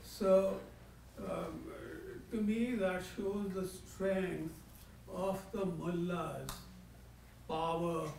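A man with a high pitch speaks very slowly, with fairly even intonation and long, frequent pauses. Noticeable background noise runs behind him. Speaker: audience member. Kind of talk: audience question. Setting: stage with audience.

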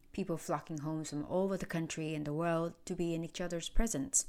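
A woman with a fairly low voice speaks on a very clean recording against a silent background. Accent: Vietnamese. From Vietnam. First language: Vietnamese. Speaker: podcast host and producer. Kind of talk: scripted narration.

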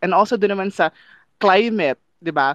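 A man is speaking. His pace is moderate. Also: dry, close sound with no echo. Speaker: climate activist. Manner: animated, playful.

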